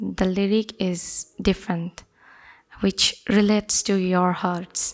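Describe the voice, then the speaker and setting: A woman speaks very slowly with a Bangladeshi accent, her medium-pitched voice monotone and flat. The recording is very clean, with a silent background. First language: Bengali. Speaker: folk singer. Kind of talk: interview. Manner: halting.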